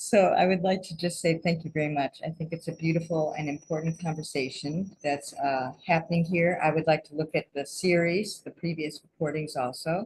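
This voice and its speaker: Her voice is fairly low-pitched and somewhat breathy. The woman keeps a moderate pace with hardly any pauses. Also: fairly even intonation. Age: 60s. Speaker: dancer, heritage participant. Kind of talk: panel discussion comment.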